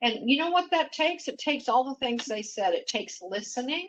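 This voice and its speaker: A woman speaks in a high voice with lively intonation. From Mexico. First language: Spanish. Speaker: executive panelist. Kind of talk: panel discussion.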